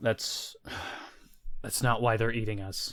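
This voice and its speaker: A man puts on a character voice that is raspy and tired in tone. He speaks at a fairly slow pace with medium pitch. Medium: actual play. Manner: tired, resigned.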